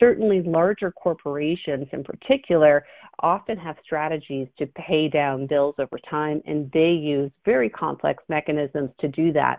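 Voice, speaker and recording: Speaking at a moderate pace, a woman with an American accent has a very deep, low pitch and ordinary pitch variation. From US Midwest. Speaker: legal and business consultant. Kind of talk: webinar lecture. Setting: online webinar.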